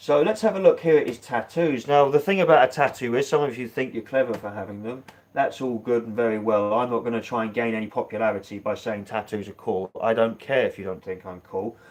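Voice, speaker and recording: A man with a British accent talks at a very fast pace with big swings in loudness. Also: medium pitch for a man, ordinary pitch variation, hardly any pauses. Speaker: political commentary vlogger. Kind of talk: online commentary. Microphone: poor connection.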